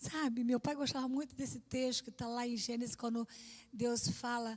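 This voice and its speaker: A woman talks at a fairly slow pace, her pitch fairly high. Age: 60s. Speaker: pastor. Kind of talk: sermon. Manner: conversational.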